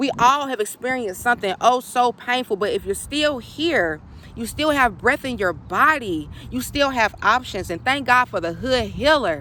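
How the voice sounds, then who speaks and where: Her high pitch and bright, sharp tone carry lively intonation as a woman talks. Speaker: spiritual coach. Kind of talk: casual vlog monologue. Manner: fast.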